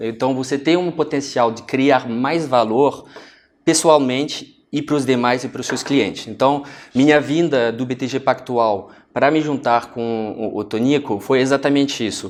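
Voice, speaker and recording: At a fairly slow pace, a man of medium pitch talks with fairly even intonation. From France. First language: French (speaking Portuguese). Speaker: finance executive. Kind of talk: TV interview. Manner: halting, with fillers.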